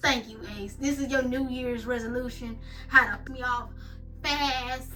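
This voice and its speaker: A woman's voice at a moderate pace, with audible room echo. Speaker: gaming and craft vlogger. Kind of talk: casual storytime vlog. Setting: home, night. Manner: loud; hyper, energetic.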